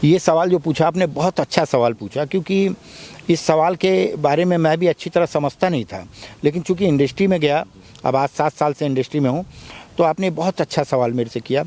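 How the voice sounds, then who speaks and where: A plain, everyday voice from a man, fairly high in pitch, with ordinary pitch variation, a moderate pace, and a dry, close sound with no echo. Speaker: film actor. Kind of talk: interview.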